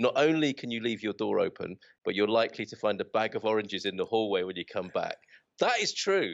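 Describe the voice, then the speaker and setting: A man with a British accent at a fairly quick pace. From United Kingdom. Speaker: expat, podcast host. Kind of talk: interview answer. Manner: chatty, enthusiastic.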